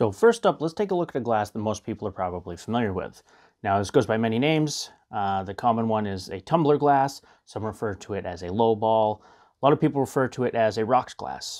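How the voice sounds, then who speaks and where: A man speaks fairly quickly, his pitch varying in an ordinary way, and the background stays quiet. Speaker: whiskey reviewer. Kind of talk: tutorial. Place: home room. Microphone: lapel.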